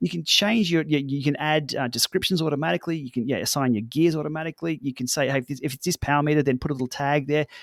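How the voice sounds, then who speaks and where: A man with an Australian accent talks at a very fast pace with hardly any pauses, a fairly high pitch and ordinary pitch variation, in a very clean recording with a silent background and a dry, close sound with no echo. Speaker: cycling tech YouTuber. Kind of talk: podcast interview. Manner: casual, many fillers.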